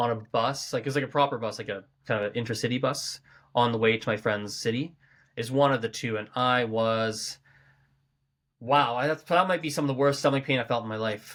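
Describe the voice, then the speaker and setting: On a very clean recording with a silent background, a man with a Canadian accent talks fairly quickly at a medium pitch with ordinary pitch variation. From Canada, Calgary. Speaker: language school owner. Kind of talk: casual chat. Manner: animated.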